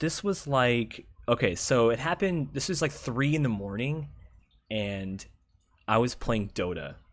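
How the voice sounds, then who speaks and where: In a very clean recording with a silent background, a man talks at a fairly slow pace and a medium pitch, his voice swinging very widely in pitch. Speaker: gamer and streamer telling stories. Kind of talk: casual storytelling monologue. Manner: filler-heavy, says like a lot; casual, animated.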